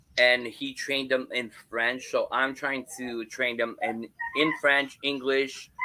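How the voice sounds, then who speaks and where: Amid noticeable background noise, a man with an Ontario accent speaks at a very slow pace in a monotone, flat intonation. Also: medium pitch for a man. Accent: Canadian English (Ontario). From Ontario, Canada (Hamilton). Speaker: graphic designer and paranormal streamer. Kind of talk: casual chat. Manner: halting, many fillers and repeats.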